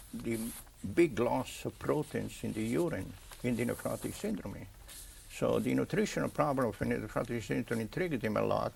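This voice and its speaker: A man with an Italian accent at a moderate pace. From Italy. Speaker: pathologist. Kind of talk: interview. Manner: halting.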